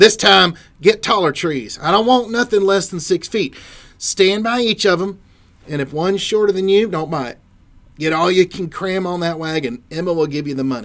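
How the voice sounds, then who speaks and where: Putting on a gruff character voice, a man speaks high-pitched at a moderate pace with lively intonation. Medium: read story. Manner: gruff, terse.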